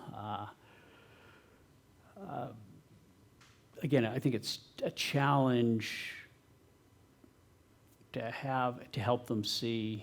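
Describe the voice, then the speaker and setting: Soft-spoken and very slow, a man talks at a medium pitch with ordinary pitch variation and long, frequent pauses. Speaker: tech company founder and CTO. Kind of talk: talk and audience Q&A answers.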